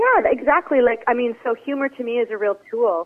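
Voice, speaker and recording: A woman talks in a normal speaking voice. Her pitch is fairly high, with ordinary pitch variation. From Interior British Columbia, Canada. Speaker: author and theatre artist. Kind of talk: interview.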